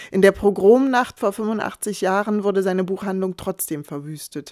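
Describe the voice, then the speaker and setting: A woman speaks at a medium pitch and moderate pace with ordinary pitch variation, the sound dry and close with no echo. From eastern Germany. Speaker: author and columnist. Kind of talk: scripted narration.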